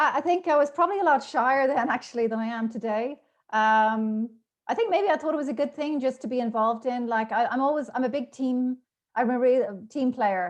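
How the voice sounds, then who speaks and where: Against a quiet background, a woman with a high pitch and a slight Irish accent speaks at a fairly quick pace with ordinary pitch variation. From Ireland, Dublin. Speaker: podcast guest. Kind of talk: casual interview chat. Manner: talkative, many fillers.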